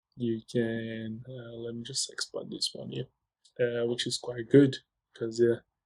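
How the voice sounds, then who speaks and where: Recorded with a dry, close sound and no echo, a man speaks at a medium pitch and a fairly slow pace. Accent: non-native. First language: not English. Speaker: software tutorial presenter. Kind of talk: screen-share tutorial. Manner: hesitant, many fillers.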